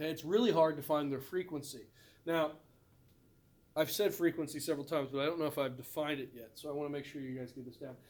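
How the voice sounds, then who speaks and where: The man speaking has a fairly high pitch. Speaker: biology teacher. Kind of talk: recorded lecture. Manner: fast.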